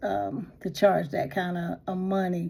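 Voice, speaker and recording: Music plays in the background as a woman speaks at a medium pitch. Her intonation is lively. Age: 60s. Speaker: lifestyle vlogger. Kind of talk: casual talk to camera. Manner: casual, hesitant, lots of fillers.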